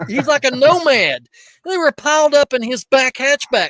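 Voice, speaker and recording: A man with an Appalachian accent speaks at a moderate pace in a bright, sharp, animated tone. The recording is dry and close, with no echo. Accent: Southern US (Appalachian). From East Tennessee, near Knoxville. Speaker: reseller podcast host. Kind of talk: casual chat. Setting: livestream.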